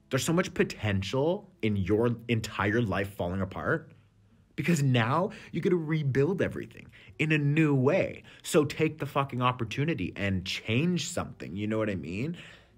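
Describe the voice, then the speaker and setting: A man of medium pitch with an animated tone and very wide pitch swings. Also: moderate pace. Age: 30s. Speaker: tarot reader and podcast host. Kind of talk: casual monologue. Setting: cafe.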